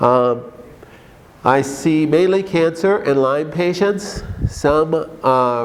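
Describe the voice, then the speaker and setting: A man with a Minnesotan accent and lively intonation, amid noticeable background noise and audible room echo. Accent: Minnesota. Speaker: doctor. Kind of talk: conference talk. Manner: animated.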